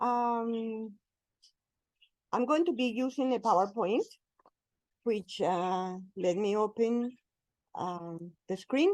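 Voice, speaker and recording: With a Colombian accent, a woman speaks at a very slow pace and a fairly high pitch, with long, frequent pauses. Her intonation is lively. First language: Spanish. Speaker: spiritual speaker, cleric. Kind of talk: talk at interfaith forum. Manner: slow, deliberate.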